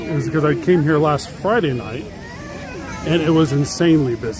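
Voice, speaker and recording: Over crowd noise in the background, a man speaks at a fairly high pitch with audible room echo. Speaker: theme park vlogger. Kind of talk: live stream walking tour. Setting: outdoors at a theme park. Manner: fast.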